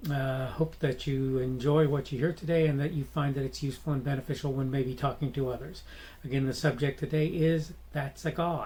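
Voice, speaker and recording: An American-accented man with a fairly high, somewhat breathy voice, dark and mellow in tone, flat and monotone in intonation, at a fairly quick pace. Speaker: podcast host. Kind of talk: solo commentary podcast. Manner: halting, many fillers and restarts.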